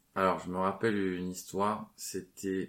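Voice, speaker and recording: This man's voice sits at a very deep, low pitch. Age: 30s. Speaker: property investor. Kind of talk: casual chat. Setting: city traffic audible.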